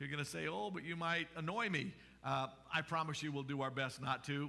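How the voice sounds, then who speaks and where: The speaker is a man with a fairly quick pace. His pitch variation is ordinary. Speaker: pastor. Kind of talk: church announcements before sermon. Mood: warm, relaxed. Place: church. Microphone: headset.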